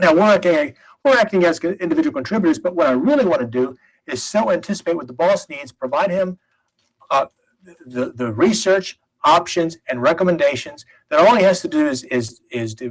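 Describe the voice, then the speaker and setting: A man talks at a fairly quick pace in a high pitch. His pitch swings very widely. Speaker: seminar instructor. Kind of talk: lecture. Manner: fast; halting.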